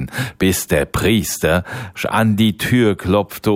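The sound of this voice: With fairly even intonation, the speaker uses an unforced reading voice.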